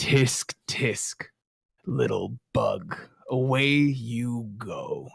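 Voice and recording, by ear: A put-on character voice, raspy and booming at a low-to-middle pitch, crawls along at a very slow pace.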